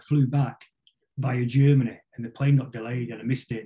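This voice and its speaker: At a very fast pace, a man with a Mancunian accent speaks at a medium pitch in a dark, mellow, somewhat breathy tone with fairly even intonation. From northern England, Salford (Greater Manchester). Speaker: musician, band drummer. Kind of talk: casual interview chat.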